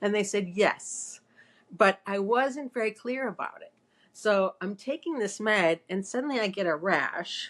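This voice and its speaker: Moving at a fairly slow pace, a woman at medium pitch uses lively intonation with big swings in loudness. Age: 60s. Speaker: psychotherapist and co-host. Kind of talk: casual chat. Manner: halting.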